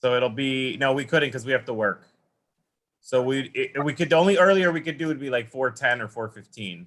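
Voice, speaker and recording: Speaking at a fairly quick pace, a man with an ordinary speaking voice keeps a medium pitch and ordinary pitch variation. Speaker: school council meeting chair. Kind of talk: formal meeting.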